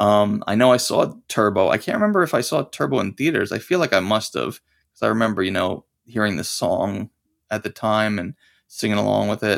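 A plain, everyday voice talks fairly quickly, its intonation lively. Behind it the background is silent, on a very clean recording. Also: man, fairly low pitch for a man. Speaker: podcast guest, fan. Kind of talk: casual chat.

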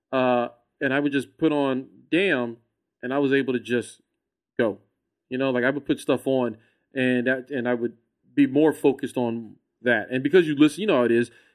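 Speech with an American accent comes at a fairly quick pace, broken by long, frequent pauses. The intonation is fairly even, and the recording is very clean with a silent background. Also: man, medium pitch for a man. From Texas, San Antonio. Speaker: comedian and podcaster. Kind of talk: casual chat.

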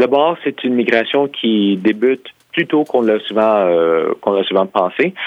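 At a fairly slow pace, a man with an ordinary speaking voice and a medium pitch speaks with lively intonation and very even loudness. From Quebec. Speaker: historian and author. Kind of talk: interview.

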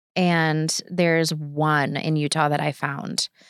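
A woman speaks with a very deep, low pitch in a monotone, flat intonation. The sound is dry and close with no echo, on a very clean recording with a silent background. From Wisconsin, Kenosha. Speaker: pastor. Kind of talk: testimony.

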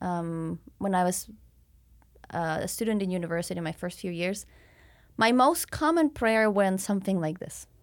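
A woman with a Spanish accent at a moderate pace, very clean recording with a silent background. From Mexico City, Mexico. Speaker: missionary. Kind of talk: interview, faith testimony.

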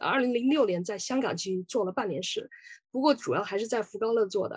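At a moderate pace and a fairly high pitch, a woman with a normal speaking voice talks with ordinary pitch variation. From Sichuan, China. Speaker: lawyer. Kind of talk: lecture.

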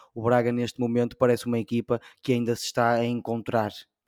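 This very clean recording has a silent background and a dry, close sound with no echo as a man talks at a moderate pace. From Portugal. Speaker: football podcast co-host. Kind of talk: casual chat.

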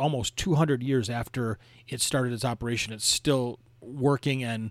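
With an Upper Midwest accent, a man speaks with fairly even intonation. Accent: Upper Midwest American (Michigan). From Michigan, the Thumb region. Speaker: podcast host, travel guide. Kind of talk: travel narration, casual guided tour.

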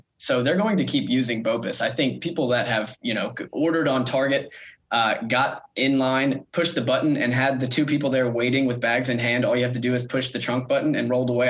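In a plain, everyday voice, a man talks at a fairly quick pace with medium pitch and fairly even intonation against a quiet background. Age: 20s. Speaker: retail analyst. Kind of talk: casual interview. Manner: frequent fillers and repetitions.

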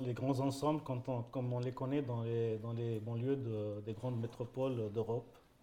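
A man talks at a moderate pace and a medium pitch, his tone dark and mellow and his intonation monotone and flat. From Algeria. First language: French. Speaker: painter. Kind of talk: panel talk via interpreter. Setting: conference stage with audience.

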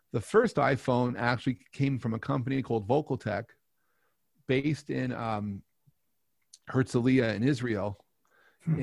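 The speaker uses an American accent at a moderate pace with ordinary pitch variation. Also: man. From New York. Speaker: telecom entrepreneur and astrophotographer. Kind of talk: interview storytelling. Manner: halting.

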